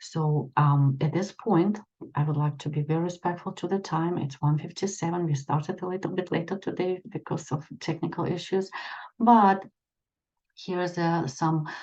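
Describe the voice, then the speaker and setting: Somewhat breathy and fairly low in pitch, a woman speaks with a dark, mellow tone and fairly even intonation. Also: moderate pace. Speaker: extension educator and leadership trainer. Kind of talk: presentation. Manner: halting, many fillers.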